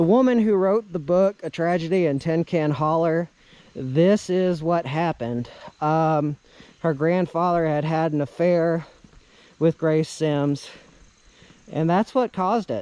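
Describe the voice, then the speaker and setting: At a fairly slow pace with long, frequent pauses, a man speaks in a high pitch with a dark, mellow tone and ordinary pitch variation, the sound dry with no echo. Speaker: vlogger storyteller. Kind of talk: casual vlog narration of local legend. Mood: storytelling, slightly eerie topic. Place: open country. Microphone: phone near.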